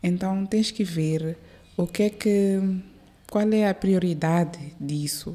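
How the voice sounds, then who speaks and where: A woman talks very slowly with long, frequent pauses, her tone dark and mellow and her intonation fairly even. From born in Maputo, raised in South Africa from age 5 to 22. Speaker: airline captain; guest. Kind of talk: interview. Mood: relaxed, smiling. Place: studio. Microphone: studio mic.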